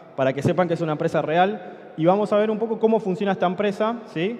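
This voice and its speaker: Against noticeable background noise, a man with an Argentine accent speaks at a fairly quick pace. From Argentina. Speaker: conference speaker, software company co-founder. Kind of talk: conference talk. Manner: conversational, many fillers and 'sí?' checks.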